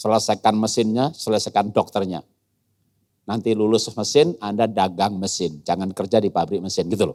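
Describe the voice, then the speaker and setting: Speaking with an animated tone at a fairly quick pace, a man has a fairly low pitch. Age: 60s. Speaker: guest speaker, educator. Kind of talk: sermon. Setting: church youth service hall.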